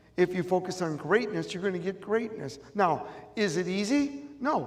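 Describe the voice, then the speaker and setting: Over noticeable background noise, a man with an American accent and a high pitch speaks at a moderate pace with lively intonation. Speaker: motivational speaker. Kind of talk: motivational speech. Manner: animated.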